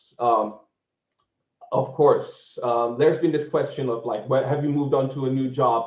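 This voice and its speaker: This is a man with a Czech accent. His pitch variation is ordinary. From Czechia, Prague. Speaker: tour guide. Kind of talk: online seminar presentation. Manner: halting.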